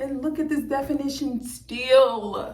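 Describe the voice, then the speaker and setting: Here a woman speaks at a very slow pace with an American accent. Audible room echo surrounds her voice. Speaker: hair vlogger. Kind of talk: tutorial. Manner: animated.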